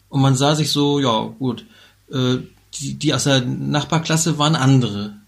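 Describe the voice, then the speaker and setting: A somewhat breathy man at a fairly slow pace with fairly even intonation. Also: medium pitch for a man. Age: 50s. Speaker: podcast co-host. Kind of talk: casual chat.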